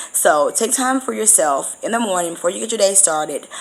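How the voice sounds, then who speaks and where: Very fast speech races along with noticeable noise in the background. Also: woman. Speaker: spiritual vlogger and medium. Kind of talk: casual vlog monologue.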